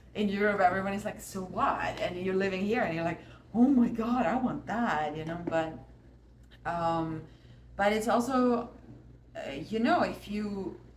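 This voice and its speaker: Over noticeable background noise and audible room echo, a woman at a medium pitch talks at a fairly slow pace with lively intonation and long, frequent pauses. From Austria. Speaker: artist and musician. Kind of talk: casual chat. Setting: art studio.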